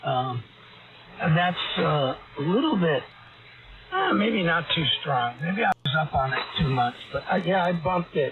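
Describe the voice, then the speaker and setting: A man's high-pitched voice with lively intonation and very even loudness, at a fairly slow pace with long, frequent pauses, over music in the background. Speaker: amateur radio operator. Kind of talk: casual chat. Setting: amateur radio contact.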